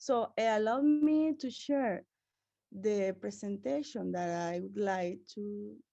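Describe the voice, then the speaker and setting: A dark, mellow tone with very wide pitch swings, a Venezuelan accent and a very slow pace. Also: woman, long, frequent pauses, big swings in loudness. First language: Spanish. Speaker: researcher. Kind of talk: conference presentation. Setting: conference. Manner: halting.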